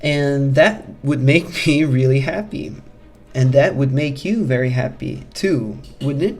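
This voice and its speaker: The delivery is fairly slow and carries a non-native accent. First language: not English. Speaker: self-help coach. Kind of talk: motivational talk. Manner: halting.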